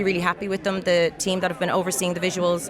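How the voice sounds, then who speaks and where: A woman with a Dublin accent against crowd noise in the background. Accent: Irish (Dublin). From Ireland. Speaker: singer-songwriter and actress. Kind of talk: interview answer. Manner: casual, chatty.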